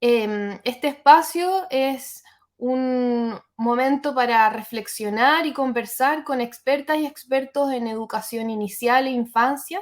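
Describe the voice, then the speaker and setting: Speaking at a very slow pace with hardly any pauses, a woman uses a high pitch and ordinary pitch variation. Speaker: interviewer. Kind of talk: interview introduction.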